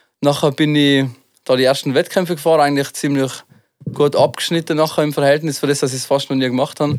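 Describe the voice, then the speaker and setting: Speaking with a Tyrolean accent, a man goes at a very fast pace. His fairly high voice has monotone, flat intonation. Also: very clean recording, silent background. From Tyrol, Austria. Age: 20s. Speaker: freestyle skier and rapper. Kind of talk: casual chat.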